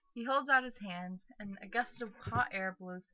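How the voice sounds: A natural reading voice carries this recording.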